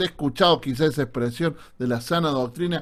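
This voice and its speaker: Here a man speaks with a Córdoba Argentine accent. His intonation is lively. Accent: Cordoba Argentine. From Argentina, Córdoba. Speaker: pastor. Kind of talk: online Bible class lecture. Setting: Zoom video call. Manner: sounds serious, stern.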